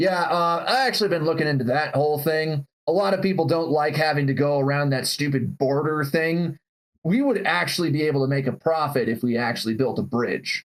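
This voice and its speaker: Gruff and put-on, this character voice goes at a fairly quick pace with very even loudness and ordinary pitch variation. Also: man, fairly high pitch for a man. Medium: actual play.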